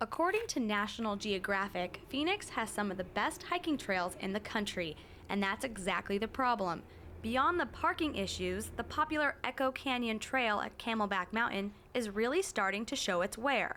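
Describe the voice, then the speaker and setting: Using a normal speaking voice, a woman talks at a moderate pace with a fairly high pitch and lively intonation. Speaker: television reporter and anchor. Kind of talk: broadcast news reporting.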